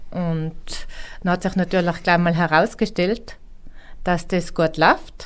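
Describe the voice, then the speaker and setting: A woman's fairly low-pitched voice. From Tyrol, Austria (near Imst). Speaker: mountain hut innkeeper. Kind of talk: interview.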